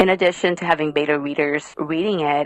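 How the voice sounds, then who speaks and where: A woman speaks at a fairly quick pace with a very deep, low pitch and fairly even intonation. The sound is dry and close, with no echo. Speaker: author and therapist/coach. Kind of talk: podcast interview. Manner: conversational, uses fillers.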